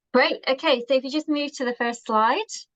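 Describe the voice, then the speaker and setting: A woman's voice, dry and close with no echo. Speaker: marketing presenter. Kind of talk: presentation.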